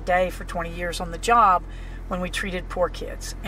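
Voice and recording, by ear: Moderate pace, an American accent, and noticeable background noise.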